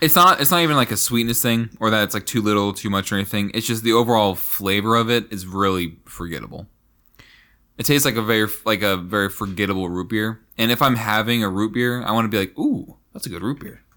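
A loud man's fairly low voice, bright and sharp in tone, at a very fast pace with ordinary pitch variation. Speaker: podcast co-host. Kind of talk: casual chat.

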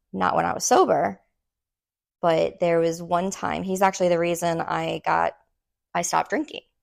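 A woman with an American accent speaks at a moderate pace, leaving long, frequent pauses, in a very clean recording with a silent background. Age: 30s. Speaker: podcast co-host. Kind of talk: casual chat.

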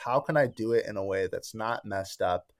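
Lively intonation marks an ordinary speaking voice at a fairly quick pace, in a very clean recording with a silent background. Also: man. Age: 20s. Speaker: realtor and real estate investor. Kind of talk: casual chat.

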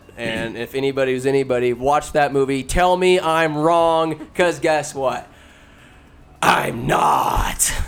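Shouting at a fairly slow pace, a man with a fairly high pitch and ordinary pitch variation comes through over noticeable background noise. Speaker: podcast host. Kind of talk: casual chat.

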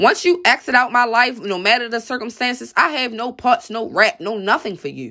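A woman speaks loudly at a fairly quick pace, her pitch fairly high with some vocal fry. The recording is very clean, with a silent background. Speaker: podcast commentator. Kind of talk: angry rant, profanity-heavy opinion monologue. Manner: aggressive, blunt, loud and defiant; confrontational, repeatedly asking 'you feel me'.

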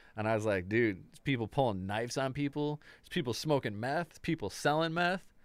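Against a silent background in a very clean recording, a man with an American accent talks fairly quickly in an unremarkable speaking voice at medium pitch, with lively intonation, big swings in loudness and hardly any pauses. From US Midwest, Chicago area. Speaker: musician. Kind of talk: casual chat.

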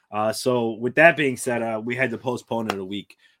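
A man with an ordinary speaking voice talks at a moderate pace and medium pitch, in a dry, close sound with no echo on a very clean recording with a silent background. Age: 30s. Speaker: fantasy football podcast host. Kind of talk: casual chat.

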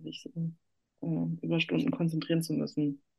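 A woman speaking at a fairly slow pace. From northern Germany, Hamburg. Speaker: journalist and architecture critic. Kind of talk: interview. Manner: many filler sounds (äh, ähm).

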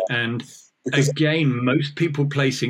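A man speaks with a somewhat breathy voice. His pace is moderate and his intonation fairly even. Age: 50s. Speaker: oral surgeon and dentist. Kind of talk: casual interview.

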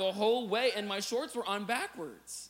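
Over noticeable background noise and audible room echo, a man with an American accent speaks in a raised, projected voice. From US Midwest, Illinois. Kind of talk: sermon.

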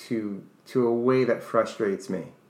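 The voice has a bright, sharp tone and fairly even intonation, with an American accent. Audible room echo surrounds it. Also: man. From New York. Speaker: co-host, English teacher and author. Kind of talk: casual chat.

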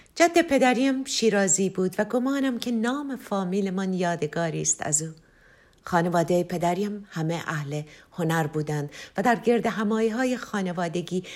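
In a very clean recording with a silent background, a woman with lively intonation talks in an unremarkable speaking voice. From Tehran, Iran. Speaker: singer-songwriter. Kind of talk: autobiographical narration.

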